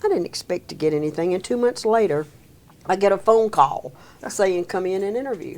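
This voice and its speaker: A woman's medium-pitched voice with a Mississippi accent, lively intonation and a fairly quick pace. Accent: Southern US (Mississippi). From US South, Meridian, Mississippi. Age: 70s. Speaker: senior employment program director. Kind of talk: interview.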